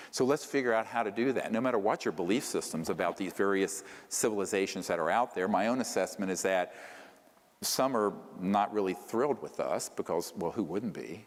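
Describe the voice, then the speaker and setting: A man with a plain, everyday voice speaks at a moderate pace and fairly low pitch with ordinary pitch variation. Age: 60s. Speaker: UFO researcher and lecturer. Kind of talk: lecture.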